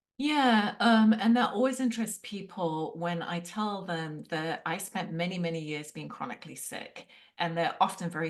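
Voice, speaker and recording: Speaking with an English accent at a moderate pace, a woman with a fairly low pitch barely pauses, and her loudness swings widely. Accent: English accent, noticeable. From London, England. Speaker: Ayurveda practitioner. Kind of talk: interview.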